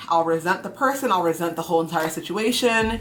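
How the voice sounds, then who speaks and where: A woman speaks fairly quickly with ordinary pitch variation while music plays in the background. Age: 30s. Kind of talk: casual talk to camera.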